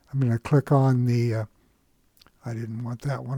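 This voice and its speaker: Recorded very cleanly against a silent background, the man speaks with fairly even intonation in a dry, close sound with no echo. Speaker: stock market educator. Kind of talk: screen-share tutorial. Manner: halting, many fillers.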